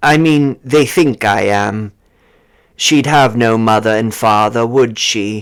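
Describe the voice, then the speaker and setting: This man uses a put-on character voice at a medium pitch, speaking fairly slowly. The recording is very clean, with a silent background. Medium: read story. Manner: hesitant, subdued.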